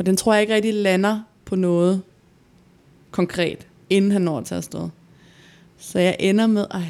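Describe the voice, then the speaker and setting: Woman at medium pitch, fairly even intonation, moderate pace and long, frequent pauses. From Denmark, Gladsaxe near Copenhagen. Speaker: podcast co-host. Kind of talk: personal testimony.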